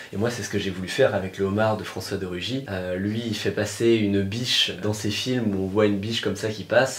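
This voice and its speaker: A man talks at a moderate pace in a fairly low, monotone voice with flat intonation and hardly any pauses. Noticeable background noise and audible room echo surround him. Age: 20s. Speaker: political cartoonist. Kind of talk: interview. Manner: hesitant, many fillers.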